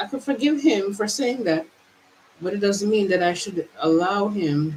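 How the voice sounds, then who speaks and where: Speaking in an American accent at a medium pitch, a woman uses lively intonation and a moderate pace amid noticeable background noise. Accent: American accent, switching to Jamaican. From Jamaica. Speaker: mindset vlogger. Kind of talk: personal monologue. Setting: on camera, traveling. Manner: halting, many repetitions.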